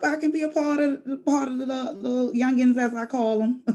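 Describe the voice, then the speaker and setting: A woman's high voice at a moderate pace. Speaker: student and courtroom clerk. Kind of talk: class introduction on video call. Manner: nervous when speaking alone.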